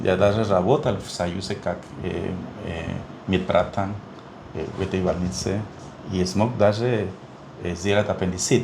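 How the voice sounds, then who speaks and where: A man with a very deep, low pitch speaks fairly slowly with fairly even intonation, pausing long and often. Audible room echo and noticeable background noise surround him. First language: Spanish (speaking Russian). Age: 60s. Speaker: neonatologist. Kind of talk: interview. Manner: halting, many fillers.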